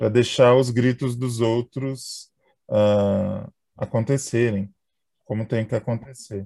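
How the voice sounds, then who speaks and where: In a very clean recording with a silent background, a man speaks at a fairly slow pace in a dark, mellow tone. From interior of São Paulo state. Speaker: podcast host. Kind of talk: casual interview.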